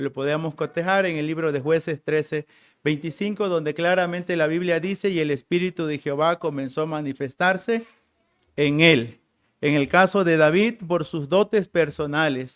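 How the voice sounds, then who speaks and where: A man with a Tabasco accent talks at a moderate pace, his pitch fairly high and his intonation fairly even. The recording is very clean, with a silent background. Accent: Tabasco Mexican Spanish. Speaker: preacher. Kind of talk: sermon.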